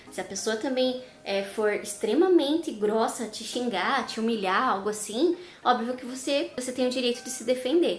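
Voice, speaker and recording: A woman speaks at a moderate pace in a high voice with a southern Brazilian accent and ordinary pitch variation. Noticeable background noise and audible room echo sit in the recording. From southern Brazil, Curitiba. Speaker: vlogger. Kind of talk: casual vlog talk.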